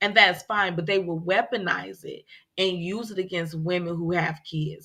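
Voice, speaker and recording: A loud woman's voice, fairly low in pitch, with a bright, sharp tone at a moderate pace over a quiet background. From Chicago. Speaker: podcast co-host. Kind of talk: casual chat.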